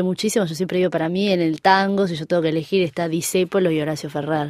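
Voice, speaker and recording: With fairly even intonation, a woman speaks at a fairly low pitch in an unremarkable speaking voice. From Uruguay. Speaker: tango singer. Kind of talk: interview. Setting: studio.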